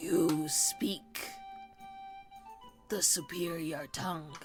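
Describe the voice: A raspy, put-on character voice talks at a very slow pace and middle pitch, with clear music playing in the background.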